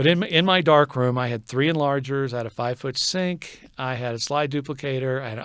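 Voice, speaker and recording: A man's medium-pitched voice with an American accent, at a fairly quick pace. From Texas. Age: 60s. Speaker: photographer and digital artist. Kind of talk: casual interview. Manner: halting, many repeats and fillers.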